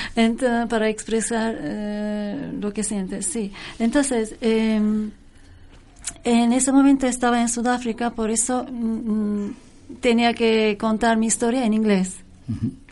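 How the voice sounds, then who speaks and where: Speaking very slowly, a woman with a slight Turkish accent has a fairly high pitch and fairly even intonation. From Turkey. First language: Turkish (speaking Spanish). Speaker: singer, pianist and composer. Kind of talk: casual interview chat.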